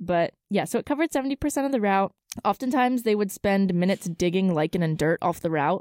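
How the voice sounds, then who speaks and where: A woman talks at a very fast pace and medium pitch, with very wide pitch swings and very even loudness. The recording is very clean, with a silent background and a dry, close sound with no echo. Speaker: student podcast co-host. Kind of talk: casual chat. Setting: studio. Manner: giggly, casual.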